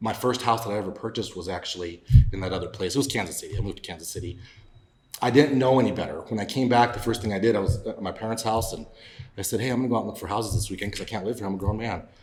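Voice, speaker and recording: Very fast speech in a Mountain West accent, with ordinary pitch variation and audible room echo. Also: man, fairly low pitch for a man. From Wyoming, Laramie County. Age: 40s. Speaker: political candidate. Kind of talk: podcast interview.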